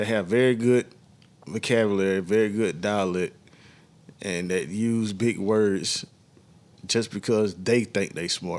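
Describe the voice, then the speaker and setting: Talking at a fairly slow pace with long, frequent pauses, a man with a Southern US accent speaks at a fairly low pitch. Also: fairly even intonation. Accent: Southern US, country. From US South. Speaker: podcast co-host. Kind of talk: casual chat.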